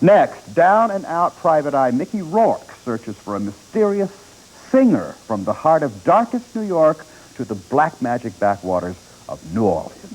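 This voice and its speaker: A man's fairly high voice with very wide pitch swings, a fairly slow pace, and noticeable background noise. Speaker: newspaper film critic and TV show co-host. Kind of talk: TV movie review, opinionated critic commentary.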